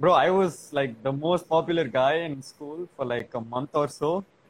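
A man talks with ordinary pitch variation. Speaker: live stream participant. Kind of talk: casual chat. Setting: video call.

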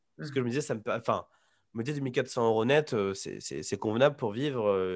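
On a very clean recording with a silent background, a man speaks at a moderate pace, with medium pitch and ordinary pitch variation. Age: 20s. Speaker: freelance developer and digital nomad. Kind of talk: casual interview. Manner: halting, many repetitions and fillers.

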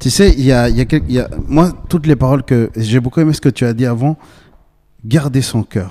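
At a moderate pace, a man talks in a dark, mellow tone with a medium pitch and ordinary pitch variation. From Bolivia. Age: 20s. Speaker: podcast host. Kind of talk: casual chat.

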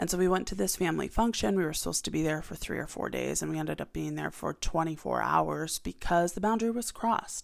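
A woman talks at a very fast pace. She hardly pauses at all. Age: 30s. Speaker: solo podcast host. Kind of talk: casual chat. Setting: home office.

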